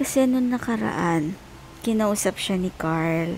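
Over music in the background, a soft-spoken woman speaks at a very slow pace with lively intonation. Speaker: expectant mother vlogger. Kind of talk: casual vlog chat. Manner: soft, drowsy talk lying in bed. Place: home room. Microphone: earbuds.

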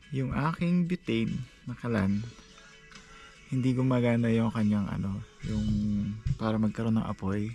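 Faint music plays in the background while a man talks with ordinary pitch variation. The sound is dry, with no echo. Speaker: solo camper vlogger. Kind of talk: casual vlog chat. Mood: amused, mildly frustrated. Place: tent. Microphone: phone near.

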